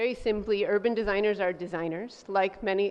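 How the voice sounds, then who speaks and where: At a very fast pace, a woman speaks with a medium pitch. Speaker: professor. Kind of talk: presentation. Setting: room with audience.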